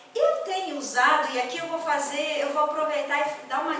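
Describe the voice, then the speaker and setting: A woman speaks in a raised, projected voice at a high pitch. Room echo is audible around her. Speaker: spiritist lecturer. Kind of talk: lecture. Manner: conversational, hesitant.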